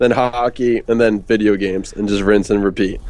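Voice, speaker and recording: An American accent from a man with a fairly low pitch, a dark, mellow tone, ordinary pitch variation and a fairly quick pace. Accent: Philly accent, comes out occasionally. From Philadelphia. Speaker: pro gamer. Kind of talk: casual chat.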